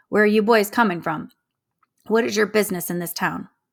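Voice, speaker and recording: A woman's raspy, put-on character voice at a medium pitch and a fairly quick pace. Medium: read story. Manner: stern, suspicious, formal.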